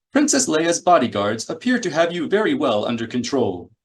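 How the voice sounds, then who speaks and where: A man's high-pitched, put-on character voice at a fairly quick pace. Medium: read story. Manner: prim, fussy.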